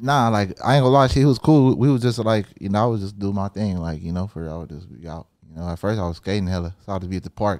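Fast and nearly pause-free, a man with a fairly low pitch uses lively intonation and big swings in loudness in a very clean recording with a silent background. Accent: Southern California. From Southern California. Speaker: rapper. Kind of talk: casual interview chat.

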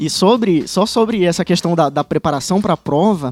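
With music in the background, a man in a northeastern Brazilian accent speaks at a moderate pace in a high pitch, the sound dry and close with no echo. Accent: northeastern Brazilian (Ceará). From Ceará, Brazil (Fortaleza). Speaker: state attorney. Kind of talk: casual chat.

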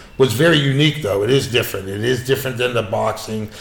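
A man speaks with audible room echo. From Pittsburgh, US. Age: 60s. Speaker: martial arts instructor. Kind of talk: casual interview chat. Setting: in person.

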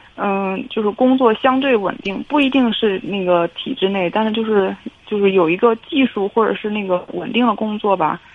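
Fairly high pitch from a woman, with ordinary pitch variation and a moderate pace. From Hebei, China (family from Shandong). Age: 30s. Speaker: caller. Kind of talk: call-in advice conversation. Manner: halting.

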